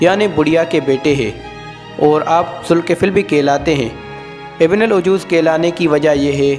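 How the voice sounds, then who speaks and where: A man talks in a fairly high voice. Behind him, music is playing. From Pakistan. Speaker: voice over artist. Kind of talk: Islamic story narration.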